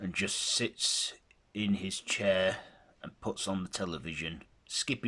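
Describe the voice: Plainly read-aloud text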